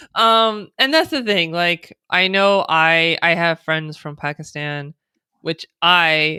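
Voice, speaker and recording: A woman with an American accent speaks at a very slow pace and a fairly low pitch. Her tone is bright and sharp, and the sound is dry and close with no echo. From born and raised in the United States. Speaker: interview guest.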